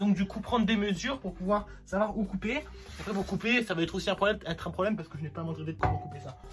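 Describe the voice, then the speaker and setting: Over music in the background, a man talks at a very fast pace in a high pitch with ordinary pitch variation. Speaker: DIY YouTuber. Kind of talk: casual vlog commentary while building.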